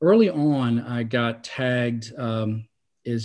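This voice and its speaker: A man with an American accent speaks in a normal speaking voice at medium pitch with ordinary pitch variation. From North Carolina, Salisbury. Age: 50s. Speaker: novelist. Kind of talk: interview.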